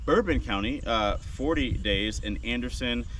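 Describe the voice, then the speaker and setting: A man's voice carries audible echo from the room, with noticeable noise in the background. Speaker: realtor. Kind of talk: market statistics rundown video. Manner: fast.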